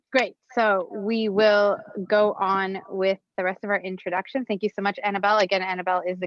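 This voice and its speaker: A woman with a medium pitch speaks in fairly even intonation. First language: Bangla. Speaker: event moderator. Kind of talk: live event moderation. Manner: playful.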